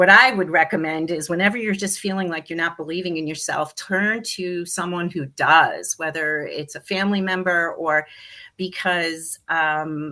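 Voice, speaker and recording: This woman, with an American accent, has a fairly low pitch and a bright, sharp tone. Her pace is moderate, her intonation fairly even, and her loudness swings widely. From US East Coast. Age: 60s. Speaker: interior designer and business owner. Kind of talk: interview. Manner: halting, with many fillers.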